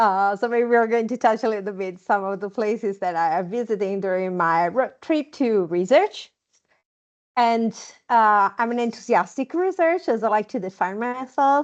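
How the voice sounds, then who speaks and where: Over a quiet background, a woman with an Italian accent talks at a moderate pace, her fairly high pitch carried by lively intonation. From Italy, Milan. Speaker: nurse researcher. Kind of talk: podcast interview. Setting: video call.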